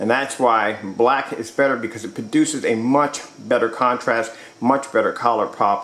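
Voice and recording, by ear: A man speaks at a fairly low pitch with a fairly bright tone. Room echo is audible.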